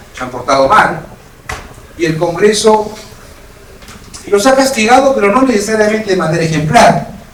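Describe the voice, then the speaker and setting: Over noticeable background noise and audible room echo, a man talks at a moderate pace with very wide pitch swings. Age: 60s. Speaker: parliamentary expert and political candidate. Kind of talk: keynote lecture. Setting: hotel event with audience.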